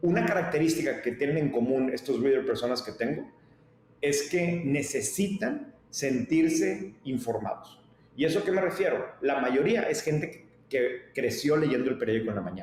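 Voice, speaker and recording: A man with a Mexican accent speaks at a moderate pace in a fairly high pitch, his intonation lively, over noticeable background noise and audible room echo. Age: 40s. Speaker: media company founder. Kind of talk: interview. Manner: animated.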